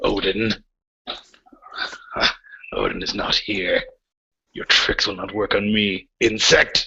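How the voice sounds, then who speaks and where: In a put-on character voice, a man growls at a very slow pace with a raspy, fairly low pitch and long, frequent pauses. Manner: snarling, contemptuous.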